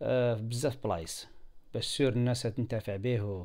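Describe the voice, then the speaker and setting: An Algerian accent with fairly even intonation on a very clean recording with a silent background. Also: man. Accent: Algerian Arabic with French loanwords. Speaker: software tutorial video maker. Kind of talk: screen-recorded tutorial. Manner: halting, many fillers.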